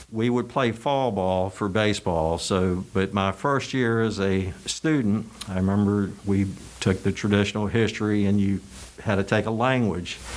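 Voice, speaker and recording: Speaking with a Virginia accent, a man with a fairly low pitch keeps his loudness very even and his intonation fairly even. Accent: Virginia Southern drawl. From Richmond, Virginia, US South. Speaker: college alumnus. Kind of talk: oral history interview. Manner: hesitant, filler words.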